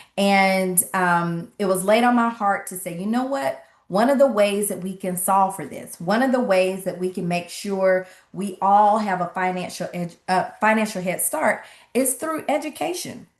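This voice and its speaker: A woman talks at a moderate pace with a Southern US accent. Her medium-pitched voice shows ordinary pitch variation. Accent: Southern twang. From US South, Atlanta, Georgia. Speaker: financial literacy coach and speaker. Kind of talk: online workshop presentation. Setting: livestream webinar with chat.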